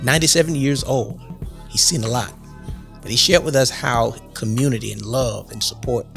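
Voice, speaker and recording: Speech at a moderate pace is broken by long, frequent pauses while music plays in the background. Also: man. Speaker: podcast host. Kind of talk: podcast intro.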